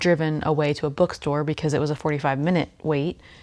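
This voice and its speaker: A woman speaks softly in a very deep, low pitch with monotone, flat intonation. The recording is very clean, with a silent background. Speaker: knitting YouTuber. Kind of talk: casual chat. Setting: indoors at a rental home. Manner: soft-spoken; filler-heavy, um and like.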